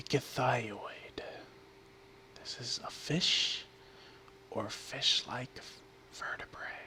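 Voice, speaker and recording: A man whispering very slowly, with long, frequent pauses and noticeable background noise. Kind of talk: ASMR word-and-definition reading. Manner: whispered, soft-spoken.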